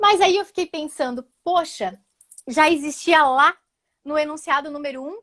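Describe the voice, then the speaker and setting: At a moderate pace, a woman speaks in an animated tone, the sound dry and close with no echo. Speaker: social security lawyer. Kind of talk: live webinar discussion.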